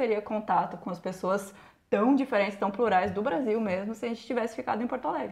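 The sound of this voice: A woman with a fairly high, somewhat breathy voice and lively intonation at a very fast pace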